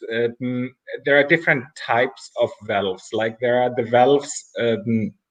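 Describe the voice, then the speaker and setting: This man speaks fairly slowly with a non-native accent. His pitch sits in the medium range and varies in an ordinary way. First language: not English. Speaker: artist. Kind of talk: casual interview chat. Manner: halting, with repetitions and fillers.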